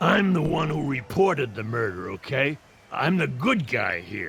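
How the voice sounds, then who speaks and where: Using a raspy, put-on character voice at a medium pitch, a man speaks at a moderate pace with very wide pitch swings. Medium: video game. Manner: defiant, paranoid.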